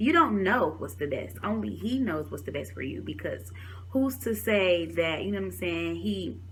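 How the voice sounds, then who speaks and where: A woman with an American accent talks in an animated, somewhat breathy tone, her pitch swinging very widely. Audible room echo surrounds her voice. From Detroit, Michigan, US. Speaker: talk show host and vlogger. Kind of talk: vlog, motivational testimony. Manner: fast.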